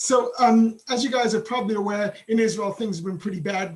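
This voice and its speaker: A man with an English accent speaks in a high pitch with ordinary pitch variation. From England. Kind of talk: webinar presentation. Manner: fast.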